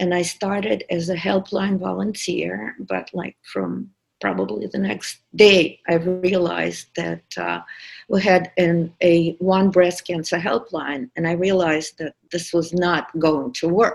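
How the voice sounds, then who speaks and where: Over music in the background, a woman with a Russian accent speaks at a very slow pace, with a fairly low pitch and ordinary pitch variation. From Russia, St Petersburg. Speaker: podcast producer. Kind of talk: personal testimony.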